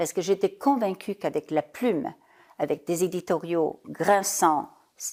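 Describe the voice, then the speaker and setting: A woman with a German accent speaks at a fairly slow pace and a medium pitch, on a very clean recording with a silent background. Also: lively intonation. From Italy (Parma). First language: German (speaking French). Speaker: business leader, former journalist. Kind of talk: interview.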